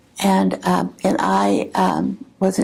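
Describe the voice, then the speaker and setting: A woman's voice comes through over noticeable background noise. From Oklahoma. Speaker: retired teacher. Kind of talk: oral history interview answer.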